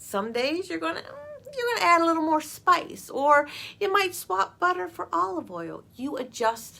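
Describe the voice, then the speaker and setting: A woman's raised, projected voice, high in pitch with very wide swings, at a moderate pace. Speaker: author and confidence mentor for girls. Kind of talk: explanatory talk to camera.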